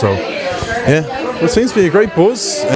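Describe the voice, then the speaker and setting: Over clear background music, a man talks with ordinary pitch variation in a dry sound with no echo. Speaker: vlogger visiting a pub. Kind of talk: casual vlog chat. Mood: excited, playful. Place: bar. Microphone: handheld.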